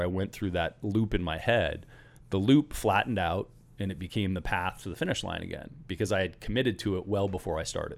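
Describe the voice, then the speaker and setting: Here is a man with a normal speaking voice and fairly low pitch. He talks at a fairly quick pace with ordinary pitch variation. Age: 40s. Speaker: entrepreneur, company founder. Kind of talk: casual interview conversation.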